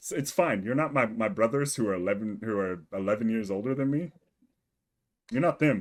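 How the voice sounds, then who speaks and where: An unremarkable speaking voice from a man, medium in pitch, at a fairly quick pace with lively intonation. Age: 20s. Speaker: gaming podcast co-host. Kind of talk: casual chat.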